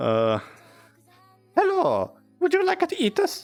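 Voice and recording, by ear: Music plays behind a man doing a put-on character voice at an extremely high pitch and a fairly slow pace.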